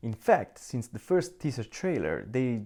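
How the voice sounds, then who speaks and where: Very clean recording with a silent background, a man with a non-native accent, medium pitch, very wide pitch swings, a dark, mellow tone, and a moderate pace. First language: Italian. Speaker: video game reviewer. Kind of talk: video review monologue.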